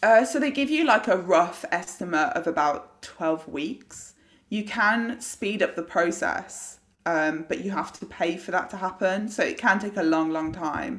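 In a British accent, someone speaks at a fairly slow pace with lively intonation. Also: woman, medium pitch for a woman. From UK. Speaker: competitive eater. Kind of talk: casual chat.

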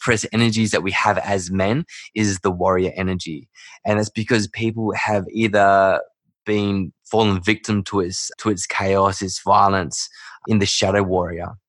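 In an Australian accent, a man talks at a moderate pace with a fairly low pitch. His intonation stays fairly even over a quiet background. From Perth, Western Australia. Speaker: men's work facilitator, breathwork guide. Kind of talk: casual interview chat.

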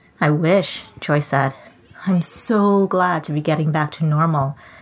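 There is noticeable background noise in this recording. A woman speaks at a very slow pace in a fairly low pitch. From Trinidad. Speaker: children's author. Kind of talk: reading aloud. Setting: video call from home office.

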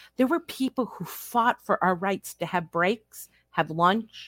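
A woman's unremarkable speaking voice with an American accent, lively intonation and a fairly slow pace, dry and close with no echo on a very clean recording with a silent background. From US Midwest, Upper Peninsula of Michigan. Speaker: self-care coach. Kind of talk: casual chat.

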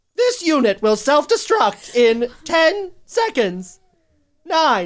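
In a put-on character voice, a female-sounding speaker pitched high talks very slowly, her pitch swinging very widely. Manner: loud.

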